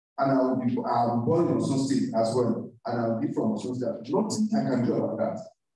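Strong room echo carries a man's voice as he talks at a fairly quick pace with very wide pitch swings. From Nigeria (Yoruba). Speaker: university lecturer, programme coordinator; university lecturer. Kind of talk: lecture. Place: classroom.

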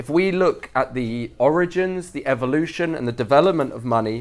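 With normal pitch movement, a man delivers his words at a moderate speed. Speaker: speaker. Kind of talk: lecture. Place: hall.

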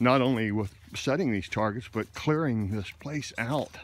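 A man with an ordinary speaking voice talks at a moderate pace, the sound dry with no echo and light background noise. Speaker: videographer. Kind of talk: casual chat. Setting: outdoors. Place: forest. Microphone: phone near.

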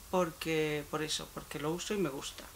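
A woman talks fairly slowly, with light noise in the background. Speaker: beauty YouTuber; beauty vlogger. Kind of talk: unboxing vlog. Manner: halting. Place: home room. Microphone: phone near.

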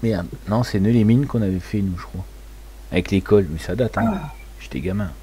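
Noticeable background noise sits behind a man talking at a moderate pace with long, frequent pauses. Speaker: gaming streamer. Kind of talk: casual live stream chat.

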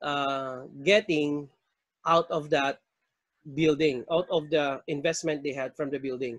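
A man's voice, dry with no echo, against a quiet background. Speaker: accounting tutor. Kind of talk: lecture. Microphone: webcam.

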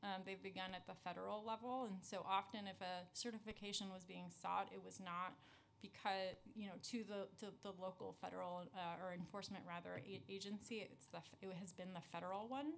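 Light background noise sits behind a woman's voice. She talks at a fairly quick pace with fairly even intonation. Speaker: city immigrant affairs commissioner. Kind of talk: testimony. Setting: council hearing room. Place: meeting room. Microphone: podium.

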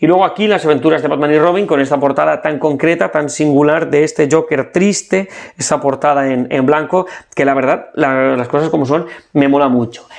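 Loudness stays very even as a man with a fairly high pitch talks at a fairly quick pace with ordinary pitch variation. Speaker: comic book youtuber. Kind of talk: product showcase, casual monologue. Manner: hesitant, many repeated words.

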